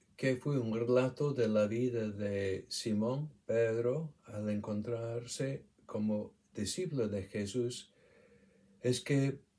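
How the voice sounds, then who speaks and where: A man speaks with an English accent at a very slow pace. His tone is dark and mellow. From England, Shropshire. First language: English (speaking Spanish). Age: 70s. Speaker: retired doctor. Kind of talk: testimony. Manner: halting.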